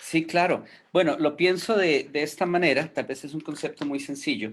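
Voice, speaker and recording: Fairly high pitch for a man, with ordinary pitch variation and a moderate pace. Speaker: foster care and adoption worker. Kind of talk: online panel discussion. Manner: hesitant, many fillers.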